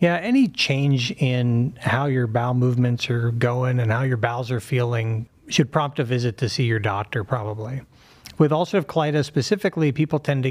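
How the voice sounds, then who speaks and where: A man speaks with an American accent in an unremarkable speaking voice. His pace is moderate. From Pittsburgh, US. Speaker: surgeon. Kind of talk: interview.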